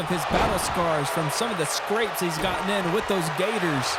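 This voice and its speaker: Noticeable background noise sits behind the recording. A man speaks at a fairly quick pace. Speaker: video game wrestling commentator. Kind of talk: wrestling play-by-play commentary.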